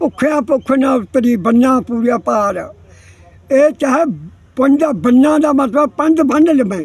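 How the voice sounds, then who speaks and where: Over noticeable background noise, a man speaks at an extremely high pitch with ordinary pitch variation and very even loudness. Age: 80s+. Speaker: elderly villager interviewee. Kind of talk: interview.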